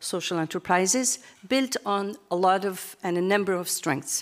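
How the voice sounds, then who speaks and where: A woman talks at a moderate pace. The background is quiet. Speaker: international policy analyst. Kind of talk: conference presentation. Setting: stage with audience. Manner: halting, many fillers. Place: hall. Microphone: podium.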